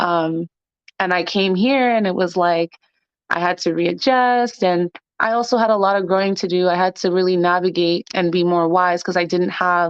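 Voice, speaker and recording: This is an ordinary speaking voice from a woman at medium pitch. She talks at a moderate pace with fairly even intonation. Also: very even loudness. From Canada, Toronto. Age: 20s. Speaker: podcast guest. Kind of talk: casual interview chat. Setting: phone or remote call.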